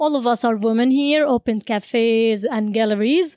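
A woman with an Arabic accent speaks at a fairly slow pace in a fairly high pitch with a dark, mellow tone. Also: dry, close sound with no echo. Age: 20s. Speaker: cafe owner. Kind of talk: casual interview.

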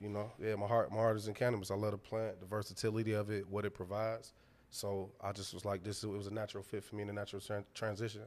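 Speaking with an American accent, a man talks very fast in a fairly low, monotone, flat delivery. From Detroit, US. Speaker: founder of a cannabis drink company. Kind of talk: casual interview chat.

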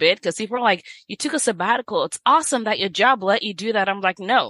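A woman's bright, sharp tone and lively intonation, with a dry, close sound with no echo over a quiet background. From Nigeria. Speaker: physician. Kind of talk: casual interview.

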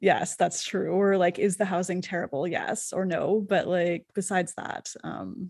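Delivered at a moderate pace, this voice has a Canadian accent, vocal fry, and a monotone, flat intonation. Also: woman. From Canada. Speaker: podcast host. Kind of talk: interview.

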